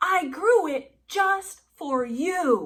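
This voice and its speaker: A woman shouting in a gruff, put-on character voice at an extremely high pitch, with very wide pitch swings. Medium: read story. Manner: gruff, shouting.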